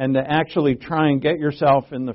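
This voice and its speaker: Delivered at a moderate pace, a man's medium-pitched voice keeps a fairly even intonation. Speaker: Bible teacher. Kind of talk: sermon. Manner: halting.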